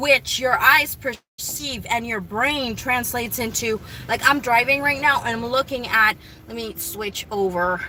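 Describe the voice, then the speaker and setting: Noticeable background noise sits behind this woman's voice. She moves at a fairly slow pace with ordinary pitch variation. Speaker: vlogger. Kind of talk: casual monologue. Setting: in a car. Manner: rambling with self-corrections.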